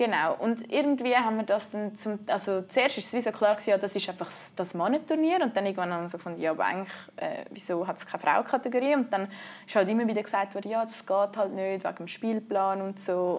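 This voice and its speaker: A woman with a Swiss accent speaks at a very fast pace with a medium pitch and ordinary pitch variation in a very clean recording with a silent background. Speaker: canoe polo player. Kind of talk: interview.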